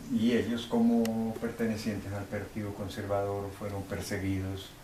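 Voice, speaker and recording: Noticeable background noise accompanies a man's voice. There is also audible room echo. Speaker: eyewitness to political violence. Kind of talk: interview testimony. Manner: halting, many fillers.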